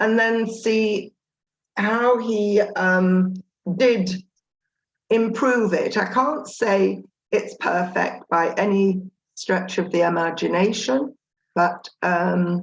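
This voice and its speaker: At a very slow pace with long, frequent pauses, a woman speaks at a medium pitch, her pitch varying normally and her loudness very even. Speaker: resume tutor. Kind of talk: video call workshop presentation. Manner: halting, many fillers.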